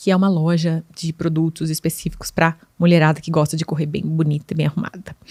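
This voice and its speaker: A woman talks at a moderate pace, the sound dry and close with no echo. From Brazil, Limeira (São Paulo state). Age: 40s. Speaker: podcast host, digital influencer. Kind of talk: casual monologue podcast.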